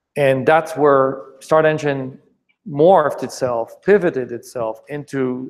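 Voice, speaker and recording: Speaking with a French accent, a man uses a fairly high pitch and ordinary pitch variation. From France, Paris. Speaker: startup founder and investor. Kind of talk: presentation Q&A. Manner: halting, many repetitions.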